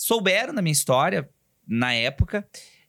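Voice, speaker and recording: An animated, raised and projected voice with a bright, sharp tone, in a very clean recording with a silent background. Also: man. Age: 40s. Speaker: entrepreneur and aspiring comedian. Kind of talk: casual chat.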